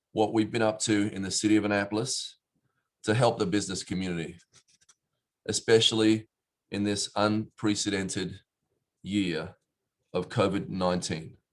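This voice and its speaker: The speaker has an Australian accent and a moderate pace, with fairly even intonation. Long, frequent pauses break up the speech. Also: man. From Australia, Perth. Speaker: city mayor. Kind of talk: prepared speech. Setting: virtual event. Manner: hesitant, many fillers.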